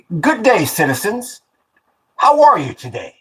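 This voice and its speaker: A man speaks in a put-on character voice pitched extremely high. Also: moderate pace. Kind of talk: careful, enunciated, proper. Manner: crisp, clear enunciation.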